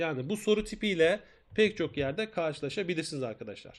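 Very wide pitch swings run through this man's high voice. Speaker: math teacher. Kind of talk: live online lesson. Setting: live stream.

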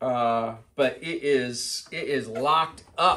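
Behind the man's speech, the background is quiet. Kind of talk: casual workshop vlog chat. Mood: amused, exasperated. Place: garage. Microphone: camera far.

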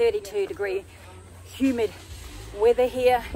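At a moderate pace, a woman speaks in a dry sound with no echo over noticeable background noise. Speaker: travel vlogger. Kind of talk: casual vlog chat. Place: street. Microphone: phone near.

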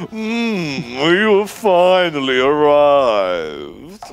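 A put-on character voice, low-to-middle in pitch, at a very slow pace. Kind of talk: theatrical, exaggerated. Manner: villainous, menacing.

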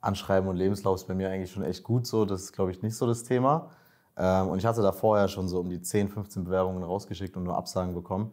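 A man's very deep, low voice at a very fast pace, with fairly even intonation over a quiet background. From Berlin, Germany. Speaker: master's student, coaching client; coaching client. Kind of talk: interview, casual. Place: office. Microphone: lapel.

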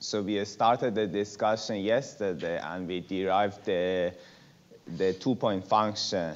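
Speaking at a fairly slow pace, a man uses a fairly low pitch and fairly even intonation. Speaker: lecturer. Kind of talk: lecture. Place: classroom. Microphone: lapel.

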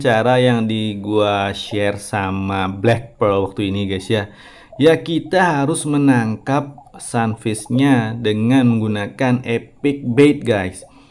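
At a very slow pace, a man talks with hardly any pauses. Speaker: gaming YouTuber. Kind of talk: gameplay commentary. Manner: casual, chatty.

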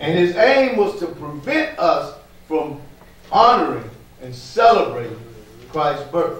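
This man talks at a very slow pace in a high pitch, with very wide pitch swings. Long, frequent pauses break up his speech, and room echo is audible. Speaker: pastor. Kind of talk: sermon. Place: church.

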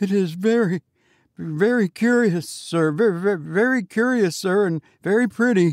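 Using a put-on character voice pitched high for a man, a man keeps a very even loudness at a moderate pace. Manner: trembling.

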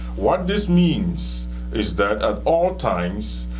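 Music plays in the background as a man speaks. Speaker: physics teacher. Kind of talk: lecture. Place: studio.

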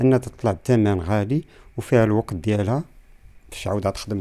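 Very fast speech from a man with a fairly low pitch and a dark, mellow tone. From Morocco, Casablanca. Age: 50s. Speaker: traditional tailor. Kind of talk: interview testimony. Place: home room. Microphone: handheld.

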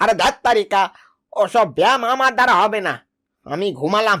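A cartoonish character voice, fairly high in pitch, moves at a moderate pace. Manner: sly, indulgent.

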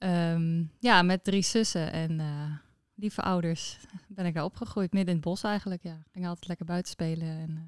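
A woman with a fairly low pitch talks at a moderate pace with fairly even intonation. The sound is dry with no echo, and the background is quiet. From Netherlands, Friesland (Noordwolde); Friesland. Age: 30s. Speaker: entrepreneur; guest. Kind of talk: interview. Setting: at her business premises. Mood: warm, relaxed. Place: office. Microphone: studio mic.

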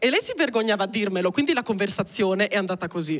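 The voice belongs to a woman. Her surroundings are quiet. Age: 20s. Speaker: stand-up comedian. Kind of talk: stand-up comedy, autobiographical storytelling; stand-up comedy monologue. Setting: stage with audience. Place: stage. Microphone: handheld.

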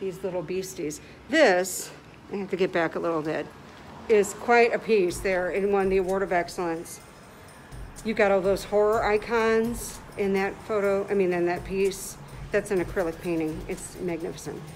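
Music plays in the background as a woman speaks. Her pace is moderate and her intonation fairly even. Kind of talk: casual live-stream tour commentary. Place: hall. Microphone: phone near.

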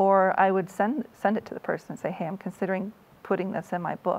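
In an American accent, the speaker talks very fast with fairly even intonation. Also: woman. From US Midwest, Iowa. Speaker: author; interviewee. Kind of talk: interview. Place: studio. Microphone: lapel.

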